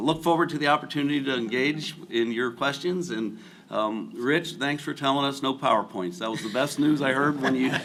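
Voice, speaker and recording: A man with a slight Southern accent speaks with lively intonation. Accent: slight southern drawl. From US Midwest, rural Ohio near Cincinnati. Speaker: agricultural lending executive. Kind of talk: panel discussion.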